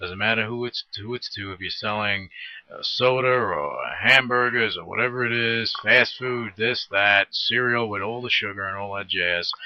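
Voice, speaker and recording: Over noticeable background noise, someone talks at a moderate pace with an American accent and fairly even intonation. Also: man. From Brooklyn, New York and New Jersey. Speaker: radio host. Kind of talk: interview.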